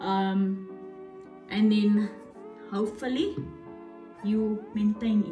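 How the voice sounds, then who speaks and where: A woman at a very slow pace with long, frequent pauses, music in the background. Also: fairly high pitch for a woman, ordinary pitch variation. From South Africa. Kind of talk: casual talk to camera.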